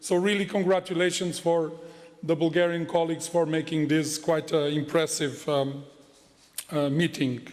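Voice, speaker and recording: With audible room echo and noticeable background noise, a man speaks at a moderate pace in a fairly high pitch, with monotone, flat intonation and very even loudness. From Portugal. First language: Portuguese. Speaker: head of a financial regulator. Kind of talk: conference speech. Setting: conference hall with audience. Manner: formal.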